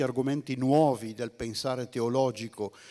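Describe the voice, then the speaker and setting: Against a quiet background, a man talks at a moderate pace in a dark, mellow tone. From northern Italy, Bergamo; Italy. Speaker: theology speaker; speaker. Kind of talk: lecture. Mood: calm, reflective. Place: stage.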